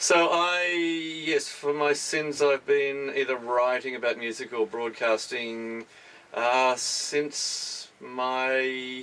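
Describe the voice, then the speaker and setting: Over noticeable background noise, a man with an Australian accent speaks at a very slow pace, his medium pitch showing ordinary variation. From Tasmania, Australia. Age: 50s. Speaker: radio presenter and music journalist. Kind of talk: interview. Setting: radio studio.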